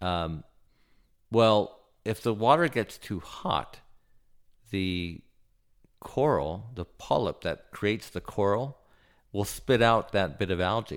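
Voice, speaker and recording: Speaking with an American accent, a man uses lively intonation at a fairly low pitch, leaving long, frequent pauses. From Southern California (Santa Barbara). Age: 50s. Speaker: submersible pilot. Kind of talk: casual interview conversation. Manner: halting, many fillers.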